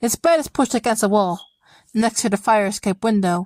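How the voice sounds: In a quiet background, a natural reading voice moves with ordinary pitch variation.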